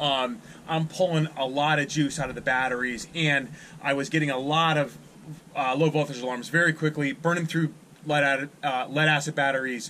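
Light background noise sits behind a man's bright, sharp tone. His intonation stays fairly even. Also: moderate pace. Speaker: fishing channel host. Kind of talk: tutorial. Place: boat. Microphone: phone near.

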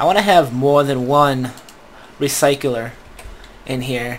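Noticeable background noise runs under a man with a US Northeast accent. He speaks at a moderate pace, with ordinary pitch variation. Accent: non-rhotic US Northeast. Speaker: gaming YouTuber. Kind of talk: gameplay commentary. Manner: casual, rambling with fillers.

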